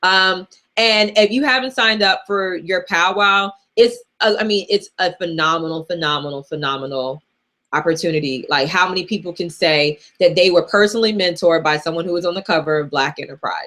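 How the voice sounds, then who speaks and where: Loud and fairly quick, a woman talks in a fairly low pitch with a bright, sharp tone and ordinary pitch variation. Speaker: personal finance coach. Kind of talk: live Q&A. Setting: livestream. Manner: casual.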